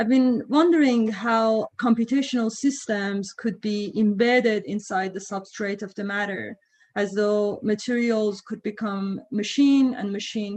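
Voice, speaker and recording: Somewhat breathy and fairly slow, the speech runs with hardly any pauses and ordinary pitch variation. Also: woman. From Iran. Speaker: professor. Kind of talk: lecture. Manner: halting, many fillers.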